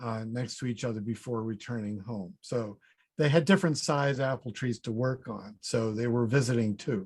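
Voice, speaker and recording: This man has a plain, everyday voice at a medium pitch. He moves at a moderate pace with ordinary pitch variation. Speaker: fruit researcher, professor. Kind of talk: conference presentation.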